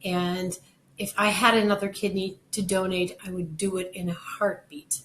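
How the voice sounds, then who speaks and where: Noticeable background noise sits behind a woman speaking at medium pitch. Her intonation is monotone and flat. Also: moderate pace. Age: 60s. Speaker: kidney donor. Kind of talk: personal testimony.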